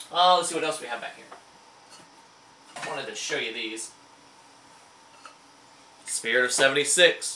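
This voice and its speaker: With an American accent, a man talks at a moderate pace in a fairly high pitch, his pitch varying in an ordinary way over noticeable background noise. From Indiana, USA. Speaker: licensed auctioneer and antique dealer. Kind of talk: casual talk to camera, show-and-tell of antique finds. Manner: enthusiastic, chatty.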